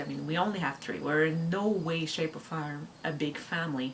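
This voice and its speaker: Noticeable background noise and audible room echo surround the recording. A woman with a French Canadian accent speaks at a fairly low pitch. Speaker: homeschooling mom vlogger. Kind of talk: casual chat. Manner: halting.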